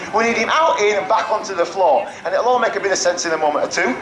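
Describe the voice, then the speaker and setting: Speech races at a very fast pace through audible room echo and noticeable background noise. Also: man. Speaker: falconer giving a flying display. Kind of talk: live display commentary to an audience. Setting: outdoor show arena with audience. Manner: animated, jokey.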